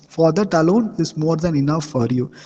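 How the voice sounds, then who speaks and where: A man with a fairly high pitch speaks at a moderate pace. His voice is somewhat breathy. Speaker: engineering lecturer. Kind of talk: online lecture. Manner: hesitant with frequent uh fillers.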